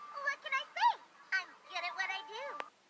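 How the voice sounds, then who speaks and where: A put-on character voice sounds squeaky at an extremely high pitch, with very wide pitch swings. The pace is moderate. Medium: solo performance. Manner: excited, stammering.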